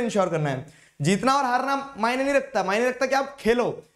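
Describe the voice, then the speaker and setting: A man at an extremely high pitch and a moderate pace, with a quiet background. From India. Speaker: online tutor for school exams. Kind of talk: live-streamed exam revision lecture. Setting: live online stream. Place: studio. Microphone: network latency and audio issues at start.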